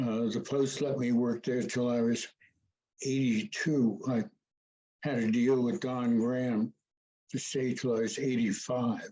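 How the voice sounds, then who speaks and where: With an American accent and a dark, mellow tone, the speaker talks at a fairly slow pace with fairly even intonation and long, frequent pauses over a quiet background. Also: man, medium pitch for a man. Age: 80s+. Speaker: veteran journalist. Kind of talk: panel discussion. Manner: halting.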